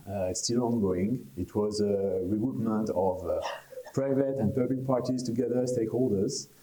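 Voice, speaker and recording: Over noticeable background noise and audible room echo, a man with a French accent talks at a moderate pace. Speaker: conference speaker on traffic technology. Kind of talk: conference presentation. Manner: hesitant, many fillers.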